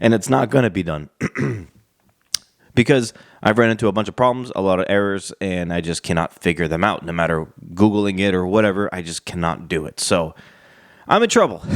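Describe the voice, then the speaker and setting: A man talks in a very deep, low voice with ordinary pitch variation. He leaves long, frequent pauses. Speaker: wrestling commentary youtuber. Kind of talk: casual vlog monologue. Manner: hesitant, many fillers.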